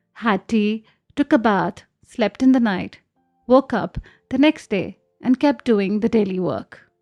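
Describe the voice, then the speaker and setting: With music playing in the background, a woman talks in a fairly high voice with ordinary pitch variation. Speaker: podcast host. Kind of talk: podcast narration translating interview.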